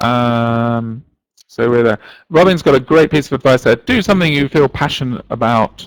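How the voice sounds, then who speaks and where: Ordinary pitch variation comes through in a dry, close sound with no echo. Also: man, medium pitch for a man. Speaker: teacher trainer. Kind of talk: live online workshop. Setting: live online webinar. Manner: fast.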